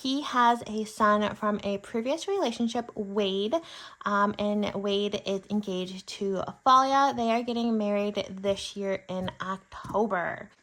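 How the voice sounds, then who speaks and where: This is an unremarkable speaking voice with an American accent. The intonation stays fairly even. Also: woman, medium pitch for a woman. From Michigan, US Midwest. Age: 30s. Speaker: budgeting YouTuber. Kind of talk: casual chat. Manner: chatty, with fillers.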